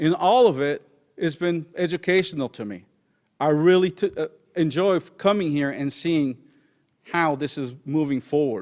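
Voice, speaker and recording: A man at a fairly high pitch with ordinary pitch variation, moderate pace, and long, frequent pauses, on a very clean recording with a silent background. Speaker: citizen speaking at public comment. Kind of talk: public comment speech.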